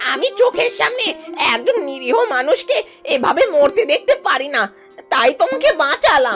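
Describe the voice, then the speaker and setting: In a cartoonish character voice, someone speaks at an extremely high pitch with very wide pitch swings while music plays clearly in the background. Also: moderate pace. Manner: gentle, stammering.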